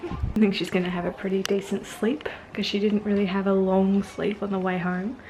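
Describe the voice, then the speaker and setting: Speaking at a fairly quick pace, a woman holds a medium pitch with monotone, flat intonation. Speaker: family vlogger. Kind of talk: casual vlog chat. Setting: outdoors; at home. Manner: whispering.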